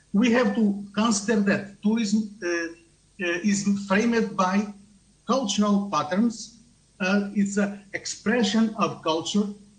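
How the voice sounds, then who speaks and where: A high-pitched man with a non-native accent, at a very slow pace, with fairly even intonation and very even loudness. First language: not English. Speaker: tourism researcher. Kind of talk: conference talk. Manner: halting.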